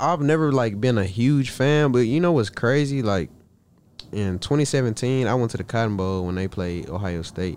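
A man with an American accent, medium pitch and lively intonation at a moderate pace. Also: very clean recording, silent background. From East Texas (Marshall). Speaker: college football player. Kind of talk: casual interview.

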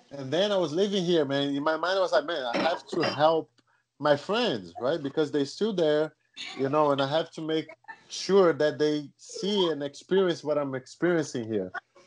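A man with a Brazilian accent, fairly high pitch, ordinary pitch variation and a moderate pace. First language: Portuguese. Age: young. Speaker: jiu-jitsu world champion. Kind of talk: casual interview conversation.

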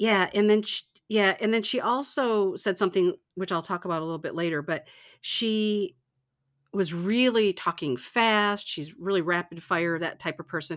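A woman with an American accent and an unremarkable speaking voice talks at a moderate pace and medium pitch with ordinary pitch variation, on a very clean recording with a silent background. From Michigan, US. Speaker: podcast host. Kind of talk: casual chat.

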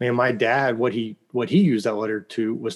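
The speaker talks at a moderate pace with a slight Oklahoma accent. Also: man. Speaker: founder of a fathers' ministry. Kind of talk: interview. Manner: animated.

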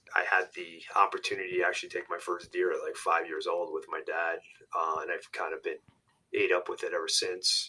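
Speaking with a New York accent, a man keeps a fairly quick pace. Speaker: hunting outfitter and podcaster. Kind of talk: interview.

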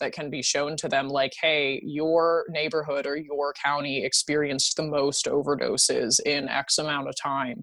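Noticeable background noise sits behind a woman speaking at a moderate pace in a very deep, low pitch. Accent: American. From rural Pennsylvania. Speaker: harm reduction activist. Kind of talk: interview.

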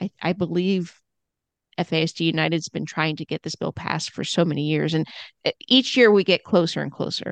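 Talking at a fairly quick pace, a woman with a fairly low voice and some vocal fry uses ordinary pitch variation, recorded with a dry, close sound, no echo and a quiet background. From US Northeast (Hudson Valley, New York). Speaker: adoptive mom and FASD advocate. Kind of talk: casual chat. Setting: video call.

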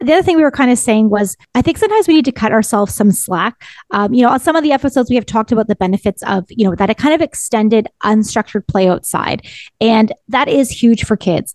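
The delivery is very fast, with lively intonation and very even loudness. The sound is dry and close, with no echo. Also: woman, fairly high pitch for a woman. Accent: Canadian. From Ontario, Canada. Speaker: parenting podcast co-host. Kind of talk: casual chat.

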